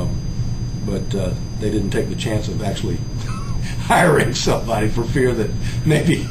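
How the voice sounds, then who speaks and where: With music playing behind him, a man keeps a moderate pace and shows ordinary pitch variation. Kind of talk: informal oral history talk. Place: office. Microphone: camera far.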